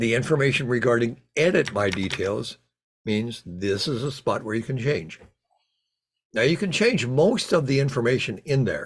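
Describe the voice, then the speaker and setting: In a somewhat breathy voice, a man speaks at a fairly slow pace. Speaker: Lions club trainer. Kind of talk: online training session. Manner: halting, with repetitions.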